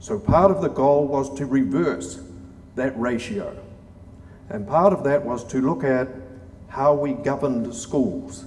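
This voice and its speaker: Speaking with a New Zealand accent, a man uses a fairly high pitch with very wide pitch swings, at a fairly slow pace with long, frequent pauses. Room echo is audible, and there is noticeable background noise. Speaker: former diplomat and government reformer. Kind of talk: conference lecture.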